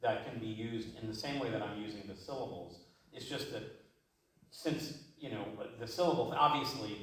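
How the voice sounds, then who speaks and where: With an American accent and audible room echo, a man of medium pitch speaks at a moderate pace, with ordinary pitch variation, big swings in loudness and long, frequent pauses. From Cleveland, Ohio, US. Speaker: jazz vocalist. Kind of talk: masterclass Q&A.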